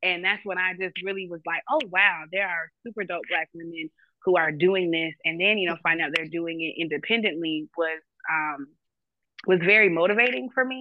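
A woman in an American accent, a normal speaking voice, fairly low in pitch with ordinary variation, at a moderate pace. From Jacksonville, Florida. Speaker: romance novelist and radio host. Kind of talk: interview.

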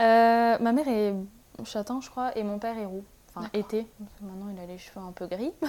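A woman's fairly high voice, dark and mellow in tone, with big swings in loudness and long, frequent pauses, on a very clean recording with a silent background. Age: 20s. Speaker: master's student. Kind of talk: casual interview.

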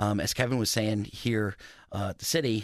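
A fairly low male voice with an American accent, fairly even intonation, and a moderate pace, on a very clean recording with a silent background. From US Midwest, northwest Ohio (Maumee, Toledo area). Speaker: city historic preservation planner. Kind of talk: radio interview.

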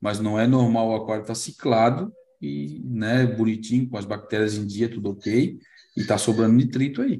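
A man's dark, mellow tone with a Brazilian accent and ordinary pitch variation. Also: medium pitch for a man, moderate pace. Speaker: live stream host, marine aquarium hobbyist. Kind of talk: casual chat, live stream. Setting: online live stream.

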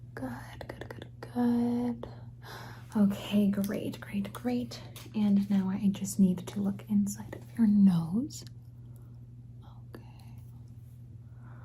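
The speech goes at a very slow pace, broken by long, frequent pauses. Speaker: ASMR roleplay creator playing a doctor. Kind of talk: ASMR roleplay, hushed whispery doctor check-up, addressing the listener as a patient. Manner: soft, slow and soothing, with repeated reassuring 'good, good, good' and gentle praise; playful and warmly chatty, with cute asides and goofy jokes.

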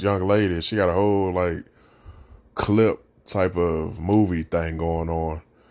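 A man speaks at a fairly slow pace in a very deep, low pitch. His intonation stays fairly even over a quiet background. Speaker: podcast host. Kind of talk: casual solo podcast talk. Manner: mellow, laid-back; casual, filler-heavy.

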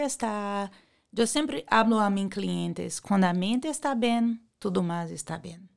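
A woman uses an ordinary speaking voice with lively intonation at a fairly slow pace. The recording is very clean, the background silent. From Brazil. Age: 40s. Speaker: beauty clinic worker. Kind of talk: interview.

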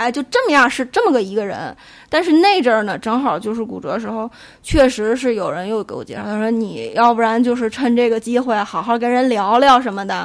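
A woman with a fairly high pitch speaks at a fairly quick pace, using ordinary pitch variation. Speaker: podcast guest. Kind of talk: casual chat.

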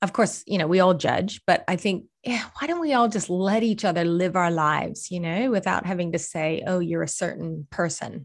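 Speaking in an ordinary speaking voice, a woman keeps a moderate pace with hardly any pauses. Her pitch is fairly low with ordinary variation, against a quiet background. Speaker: holistic coach and healing practitioner. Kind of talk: casual interview chat.

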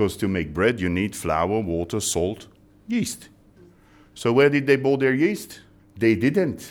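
With a Belgian accent, a man speaks at a fairly slow pace and medium pitch, with very wide pitch swings and long, frequent pauses. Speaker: baking company trainer.

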